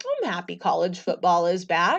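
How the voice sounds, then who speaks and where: A woman puts on a raspy character voice. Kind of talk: casual. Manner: indifferent, flat.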